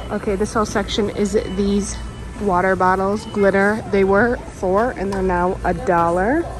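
Clear music sits behind a woman's voice, with a dry sound and no echo. Her intonation is fairly even. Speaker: shopping vlogger. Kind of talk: casual vlog chat. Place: shop. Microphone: phone near.

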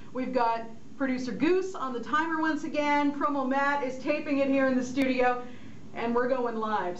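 There is light background noise. Room echo is audible too. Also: woman. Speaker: radio host. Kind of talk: live radio hosting. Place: studio.

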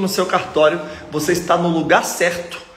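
A man with a high-pitched voice speaks in a room with audible echo. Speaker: exam prep course host. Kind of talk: live stream talk to viewers. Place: home room. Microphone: phone near.

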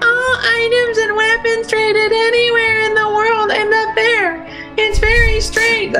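A put-on character voice at an extremely high pitch, fairly slow, with clear music in the background

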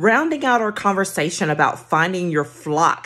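Against a quiet background, the female speaker keeps a moderate pace. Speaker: career coach. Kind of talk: casual vlog tip. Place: home room. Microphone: phone near.

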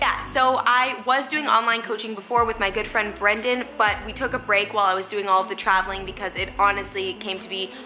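With clear music behind her, a woman talks at a fairly quick pace with hardly any pauses and ordinary pitch variation. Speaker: fitness vlogger. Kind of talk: casual vlog chat. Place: home room. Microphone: phone near.

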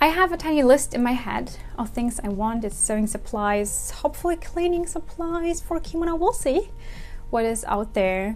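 A woman's high voice at a moderate pace, with faint music in the background. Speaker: kimono vlogger. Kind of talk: casual vlog chat. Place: home room. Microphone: lapel.

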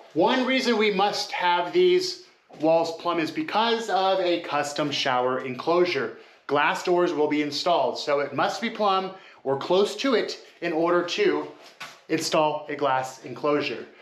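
Pitched high for a man, his fairly slow speech carries audible room echo. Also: ordinary pitch variation. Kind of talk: tutorial. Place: bathroom. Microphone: phone near.

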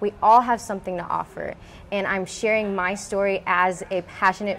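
Light background noise sits behind a woman with an American accent who speaks at a moderate pace with fairly even intonation. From Houston, Texas. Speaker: beauty pageant winner and fashion designer; guest. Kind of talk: interview. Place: workshop.

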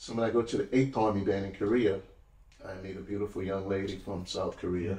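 A man with a fairly low pitch and a dark, mellow, somewhat breathy tone speaks at a fairly quick pace in a monotone, flat intonation. Audible room echo surrounds his voice. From New Orleans, Louisiana. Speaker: retired army musician and historical interpreter. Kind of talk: casual interview chat. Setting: studio, in person. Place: studio.

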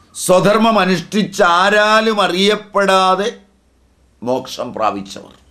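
A man's raised, projected voice, high and bright, sharp in tone, with ordinary pitch variation over a quiet background. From Kerala, India. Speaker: spiritual teacher. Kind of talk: religious discourse.

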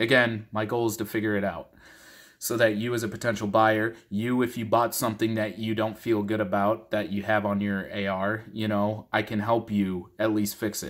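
A man's fairly low, monotone voice with flat intonation against a quiet background. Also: moderate pace. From Minnesota. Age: 30s. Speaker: gun parts reviewer; product reviewer vlogger. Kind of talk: casual talking-head video. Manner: casual, rambling with fillers. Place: home room. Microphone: phone near.

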